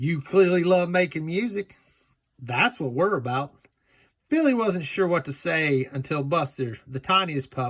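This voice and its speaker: On a very clean recording with a silent background, a man with a Southern US accent talks fairly slowly with lively intonation. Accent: Southern US drawl. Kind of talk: children's picture book read-aloud. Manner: casual, joking asides.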